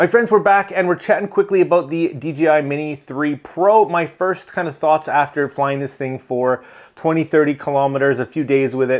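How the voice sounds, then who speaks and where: A man speaks with hardly any pauses against a quiet background. His pitch is fairly high and varies in an ordinary way. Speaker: tech YouTuber, drone reviewer. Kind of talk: casual chat, product review. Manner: fast; animated.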